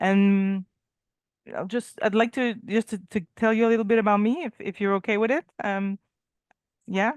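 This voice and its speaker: A woman speaks at a moderate pace and fairly high pitch with a French Canadian accent, using ordinary pitch variation and long, frequent pauses. The sound is dry and close, with no echo. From Quebec, Canada. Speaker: painting trade teacher. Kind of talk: casual chat. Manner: halting.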